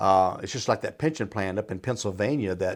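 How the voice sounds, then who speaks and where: A man speaks in an ordinary speaking voice at a moderate pace. His pitch variation is ordinary. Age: 60s. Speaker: financial adviser and retirement planner. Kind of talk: radio Q&A advice talk. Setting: radio studio.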